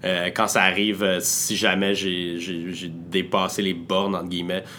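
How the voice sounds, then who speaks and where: A man with a very deep, low voice speaks at a very slow pace. His intonation is fairly even, and room echo is audible. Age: 20s. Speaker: entrepreneur. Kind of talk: interview. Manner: hesitant, many filler words.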